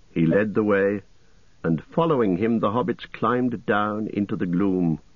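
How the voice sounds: A natural reading voice rises and falls with ordinary pitch variation.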